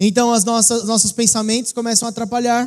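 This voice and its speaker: A high-pitched man at a fairly quick pace. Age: 20s. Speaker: pastor. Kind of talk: sermon. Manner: animated.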